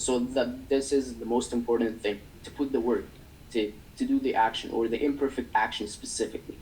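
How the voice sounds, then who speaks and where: The speaker has a non-native accent and a fairly quick pace. Intonation stays monotone and flat. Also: man, medium pitch for a man. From developing country. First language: not English. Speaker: agency owner. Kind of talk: interview. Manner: halting.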